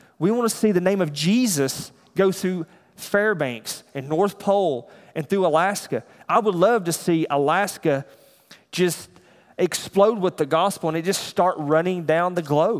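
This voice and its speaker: At a fairly slow pace, a man in a Southern US accent talks with a high pitch and ordinary pitch variation. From US South. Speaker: church elder preaching. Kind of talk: sermon.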